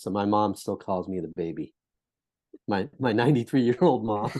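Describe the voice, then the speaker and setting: Lively intonation marks this man's unremarkable speaking voice, set at a fairly low pitch. He speaks at a moderate pace with an American accent. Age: 60s. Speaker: social entrepreneur and mentor. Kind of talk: podcast interview.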